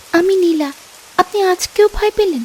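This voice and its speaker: A woman does a squeaky, put-on character voice at an extremely high pitch with lively intonation, in a dry, close sound with no echo. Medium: cartoon. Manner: coaxing, insistent.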